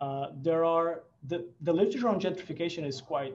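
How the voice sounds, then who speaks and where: A man talks at a fairly quick pace, his voice somewhat breathy and his intonation fairly even. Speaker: researcher. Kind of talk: seminar Q and A. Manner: fast; halting.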